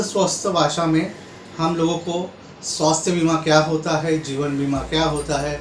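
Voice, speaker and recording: Noticeable background noise plus audible room echo. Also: man. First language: Marathi (speaking Hindi). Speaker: insurance advisor. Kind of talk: tutorial.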